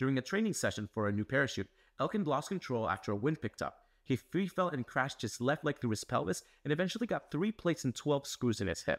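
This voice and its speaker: A man talks at a very fast pace, his pitch swinging very widely. The background is quiet. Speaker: news explainer host. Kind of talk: scripted news explainer. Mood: serious, earnest.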